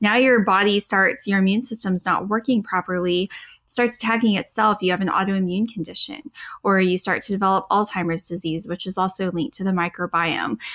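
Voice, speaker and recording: A woman talks at a fairly quick pace in a normal speaking voice. Her pitch is medium, with ordinary variation. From Texas panhandle. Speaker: dietitian. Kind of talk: casual chat.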